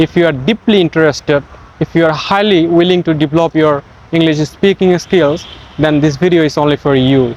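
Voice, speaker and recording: A man with a Bengali accent speaks at a moderate pace in a high pitch, with ordinary pitch variation. The sound is dry and close with no echo, and there is noticeable background noise. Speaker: English teacher. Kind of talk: tutorial. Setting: outdoors in a park.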